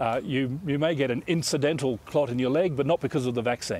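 A man talks in a normal speaking voice at a moderate pace, with a fairly high pitch and ordinary pitch variation. The sound is dry with no echo. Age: 50s. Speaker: infectious diseases professor. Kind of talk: news interview. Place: garden. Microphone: lapel.

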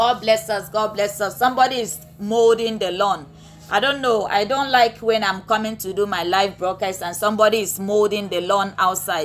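Music plays behind a woman's voice. Her pitch varies in an ordinary way. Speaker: pastor. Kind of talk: live-streamed sermon and chat. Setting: live online broadcast.

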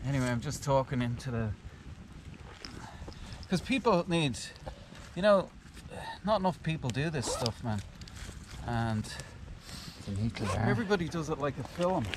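Over noticeable background noise, a man talks at a moderate pace with very wide pitch swings and long, frequent pauses, the sound dry with no echo. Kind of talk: casual chat. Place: forest.

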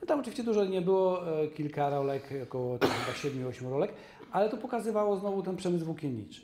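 A man rushes along at a very fast pace in a high pitch. His pitch swings very widely over noticeable background noise. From Częstochowa, southern Poland; southern Poland. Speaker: documentary filmmaker. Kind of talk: casual interview. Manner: halting. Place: studio. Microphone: lapel.

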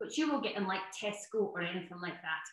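A woman talks at a very fast pace with a Scottish accent. Her intonation is lively. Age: 40s. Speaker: cookery author. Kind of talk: online workshop. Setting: video call. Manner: animated.

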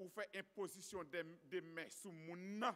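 Pitched high for a man, his bright, sharp voice moves at a very slow pace with fairly even intonation. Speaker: church announcer. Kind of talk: announcements and exhortation. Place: church. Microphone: podium.

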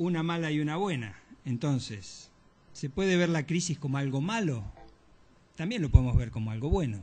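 With lively intonation and a somewhat breathy, fairly high voice, a man speaks at a moderate pace, leaving long, frequent pauses. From Argentina. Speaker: moderator. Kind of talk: event moderation. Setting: auditorium with audience. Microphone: podium.

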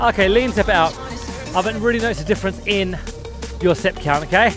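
A fairly quick pace over background music, in a dry sound with no echo. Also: man. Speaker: fitness instructor. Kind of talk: workout instruction. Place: waterside.

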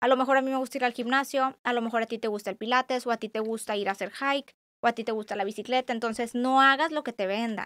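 A woman with a fairly high pitch and fairly even intonation speaks very fast, her voice dry and close with no echo in a very clean recording with a silent background. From Tijuana, Mexico. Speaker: psychologist. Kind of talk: casual interview.

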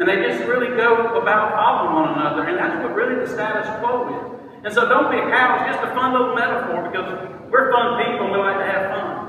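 A man at an extremely high pitch and fairly quick pace, with strong room echo and noticeable background noise. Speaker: motivational speaker. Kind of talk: short speech at an event. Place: hall. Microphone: phone near.

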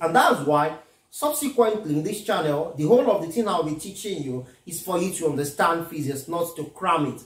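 Audible room echo surrounds a man as he speaks. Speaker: physics tutor. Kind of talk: lecture. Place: home room. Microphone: camera far.

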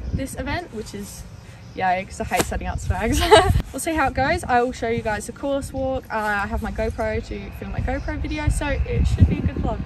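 Music plays in the background as a woman speaks at a fairly quick pace, the sound dry with no echo. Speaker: equestrian vlogger. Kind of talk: casual vlog chat. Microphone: phone near.

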